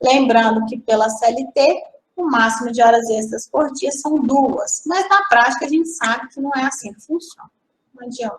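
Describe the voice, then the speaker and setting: A high-pitched woman speaks at a moderate pace with ordinary pitch variation. Her loudness swings widely. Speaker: aviation school teacher. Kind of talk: lecture.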